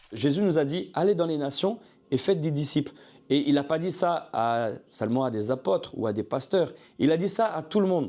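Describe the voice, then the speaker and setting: The voice has a dark, mellow tone and lively intonation, moving at a moderate pace on a very clean recording with a silent background. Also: man, fairly high pitch for a man. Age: 40s. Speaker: ministry founder. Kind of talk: testimony.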